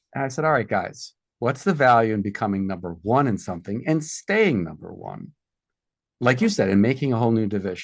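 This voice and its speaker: Over a quiet background, a man with an American accent speaks at a moderate pace. His pitch is medium and his intonation lively. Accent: Boston accent, mostly trained out, slips back. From South Boston, Massachusetts. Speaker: entrepreneur and product developer. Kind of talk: podcast interview. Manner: animated storytelling.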